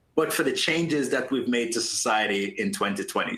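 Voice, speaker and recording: This man's voice sits at a fairly high pitch with very wide pitch swings. He talks at a fairly quick pace. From Jamaica. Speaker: entrepreneur and initiative founder. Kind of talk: panel interview.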